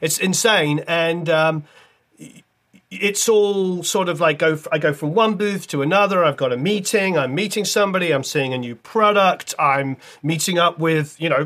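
At a moderate pace, a man speaks in a high pitch with a bright, sharp tone. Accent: British. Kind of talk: casual interview chat.

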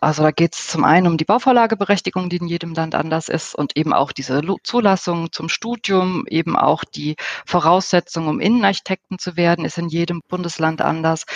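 This woman has a normal speaking voice with a fairly low pitch and ordinary pitch variation. She talks at a fairly quick pace with hardly any pauses. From Germany. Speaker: interior architect, professional association president. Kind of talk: interview.

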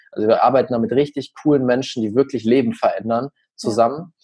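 At a fairly quick pace, a man with an unremarkable speaking voice talks in a medium pitch with fairly even intonation. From Germany, small village. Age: young. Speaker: social media marketing expert. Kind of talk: podcast interview.

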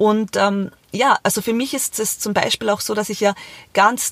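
A woman speaks at a medium pitch. The sound is dry and close with no echo. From Austria, Carinthia. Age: 30s. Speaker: podcast host, entrepreneur and single mother. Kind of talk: solo podcast monologue.

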